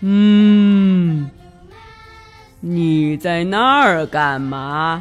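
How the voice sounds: Someone performs a put-on character voice at a middle pitch. Faint music plays in the background.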